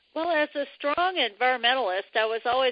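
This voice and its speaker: A woman with a normal speaking voice, lively intonation and a fairly slow pace. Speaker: retired civil engineer, biomimicry professional. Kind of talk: interview.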